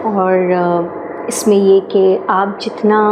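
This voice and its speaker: A woman speaks at a medium pitch with monotone, flat intonation. Noticeable background noise runs behind her. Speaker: singer and voice over artist. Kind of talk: interview answer.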